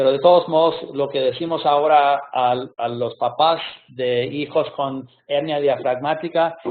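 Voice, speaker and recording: A man with a non-native accent speaks at a very slow pace, his fairly high pitch held in fairly even intonation. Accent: non-native Spanish speaker. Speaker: pediatric surgeon. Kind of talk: lecture. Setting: video call webinar. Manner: halting, many hesitations.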